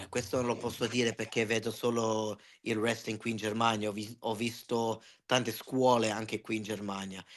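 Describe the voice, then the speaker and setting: A man speaks at a moderate pace with a medium pitch and a monotone, flat intonation. The background is quiet. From Germany, Italian parents from Calabria. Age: 40s. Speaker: wrestling ring announcer. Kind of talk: casual interview chat. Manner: halting, with self-corrections.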